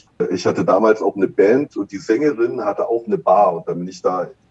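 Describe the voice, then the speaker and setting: This is a man speaking. His pace is fairly quick. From West Berlin (Kreuzberg). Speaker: bartender and brand ambassador. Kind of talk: casual interview chat. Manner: halting, many fillers.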